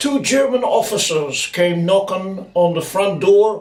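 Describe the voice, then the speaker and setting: Against noticeable background noise, a man with a high-pitched voice speaks at a very slow pace. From Netherlands, Rotterdam. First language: Dutch. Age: 70s. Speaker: eyewitness storyteller. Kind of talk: testimony.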